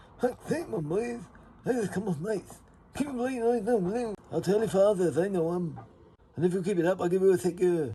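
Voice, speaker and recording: A man's put-on character voice, nasal and high-pitched, at a fairly quick pace with lively intonation. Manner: angry, shouting.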